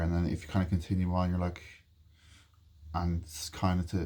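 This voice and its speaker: Soft-spoken and somewhat breathy, a man with a very deep, low pitch and a dark, mellow tone talks at a fairly quick pace in a flat monotone. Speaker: vlogger. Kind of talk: casual chat. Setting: bedroom.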